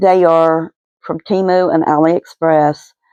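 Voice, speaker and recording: Dry and close with no echo, a woman's dark, mellow voice at a fairly low pitch comes out flat and monotone in an Appalachian accent. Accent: Appalachian (West Virginia). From West Virginia, Kanawha County (Cabin Creek). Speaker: resin art hobbyist vlogger. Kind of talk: casual voiceover for craft video. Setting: home, voice recorded after filming. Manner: hesitant, many fillers.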